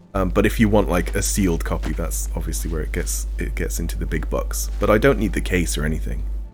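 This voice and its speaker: A fairly quick pace of speech with music in the background. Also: man. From Wales, the valleys. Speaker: video game streamer. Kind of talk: casual gameplay livestream chat. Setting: live stream with chat.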